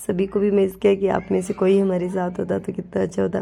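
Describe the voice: Speaking at a moderate pace, a woman uses a medium pitch with little pitch movement. Her tone is dark and mellow, with vocal fry.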